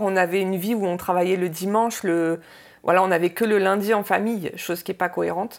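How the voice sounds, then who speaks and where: The speech moves at a fairly quick pace. Intonation stays fairly even. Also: woman. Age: 40s. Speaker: restaurant owner. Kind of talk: interview testimony. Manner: halting, many hesitations.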